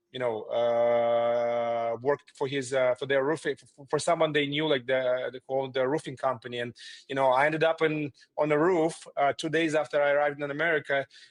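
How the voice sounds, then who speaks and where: The speaker has a Russian accent and a fairly even intonation. The pace is fairly quick. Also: man, fairly high pitch for a man. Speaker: remodeling company founder. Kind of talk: interview. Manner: hesitant, many fillers.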